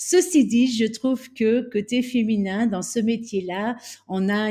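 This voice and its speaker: A woman's voice with a dark, mellow tone. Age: 40s. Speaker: real estate agency director. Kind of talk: interview. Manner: halting, many repetitions and fillers.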